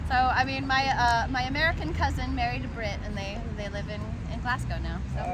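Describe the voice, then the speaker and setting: A woman talks at a fairly quick pace with a slight Southern US accent. Crowd noise can be heard in the background. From US South, South Carolina. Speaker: street musician, harpist. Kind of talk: casual chat. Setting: outdoors, city park. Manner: halting.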